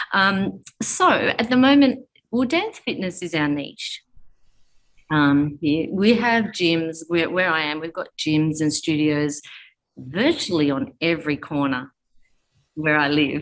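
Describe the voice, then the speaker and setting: An Australian accent comes through as a woman speaks. Her intonation is lively and her pace very slow. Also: fairly low pitch for a woman. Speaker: fitness studio owner and coach. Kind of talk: interview.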